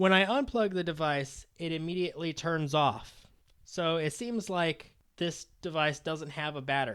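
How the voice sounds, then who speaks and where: The speech runs at a moderate pace in a very clean recording with a silent background. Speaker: tech hobbyist, laptop refurbisher. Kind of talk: video narration voice-over. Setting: home recording, USB microphone.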